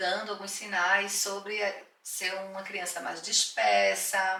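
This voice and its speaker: Very slowly, a woman speaks at medium pitch amid noticeable background noise and audible room echo. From Brazilian Northeast. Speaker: parent guest. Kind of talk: podcast interview.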